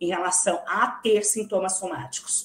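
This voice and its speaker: Here is a woman with a normal speaking voice at a medium pitch. She talks at a fairly slow pace. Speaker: psychology researcher. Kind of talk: academic lecture.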